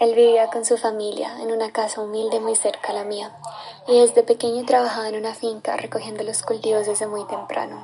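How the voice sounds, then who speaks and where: A woman speaks in a fairly high pitch with monotone, flat intonation against noticeable background noise. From Colombia, Caldas. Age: 20s. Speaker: displaced conflict survivor. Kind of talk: testimony.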